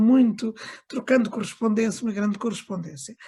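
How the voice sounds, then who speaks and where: At a fairly quick pace, a woman speaks in a fairly high, dark and mellow voice. It is somewhat breathy, with ordinary pitch variation. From Angola (Lubango), moved to Portugal at 15. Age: 60s. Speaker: book launch speaker, daughter of an author. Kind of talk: book launch remarks. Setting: video call. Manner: halting, many fillers.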